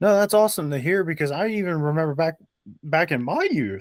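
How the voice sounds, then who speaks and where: A man with an American accent has an ordinary speaking voice and talks at a fairly quick pace. His pitch variation is ordinary, and the sound is dry and close with no echo. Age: 30s. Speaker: podcast host. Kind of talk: casual chat.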